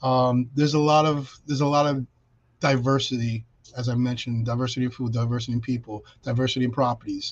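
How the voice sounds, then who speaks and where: A somewhat breathy, flat, monotone voice in a New York accent at a very fast pace. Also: man, medium pitch for a man. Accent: New York City. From New York City (Brooklyn). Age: 50s. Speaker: realtor. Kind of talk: interview on a video podcast.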